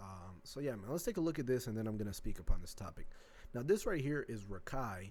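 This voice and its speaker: A man of medium pitch races along at a very fast pace, his pitch swinging very widely. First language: not English. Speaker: reaction video creator. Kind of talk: casual reaction commentary. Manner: casual slangy.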